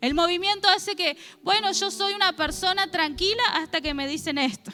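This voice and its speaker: This woman's voice is raised and projected, pitched extremely high. Her pitch moves in an ordinary way. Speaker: preacher. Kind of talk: sermon. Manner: fast.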